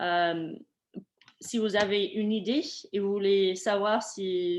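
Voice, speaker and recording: This woman has a non-native accent and a medium pitch. Her intonation stays fairly even. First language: not French (speaking French). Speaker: webinar presenter, program staff. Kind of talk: Q&A session in webinar. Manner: halting, many fillers.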